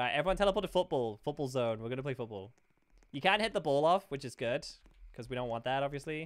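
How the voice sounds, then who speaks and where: A man with a British accent talks at a very fast pace, his fairly high voice carrying lively intonation. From Britain. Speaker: gaming streamer. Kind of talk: live gameplay stream chat. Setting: live stream. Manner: animated.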